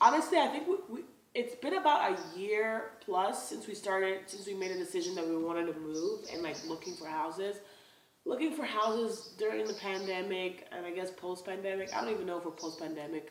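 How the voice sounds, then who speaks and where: A woman at medium pitch with lively intonation and a fairly quick pace, big swings in loudness, and audible room echo. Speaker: lifestyle vlogger. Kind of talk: casual vlog talk.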